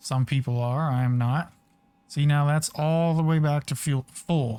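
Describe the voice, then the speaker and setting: This is a very clean recording with a silent background. The speech moves at a fairly slow pace. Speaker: flight simulator streamer. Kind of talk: tutorial. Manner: casual.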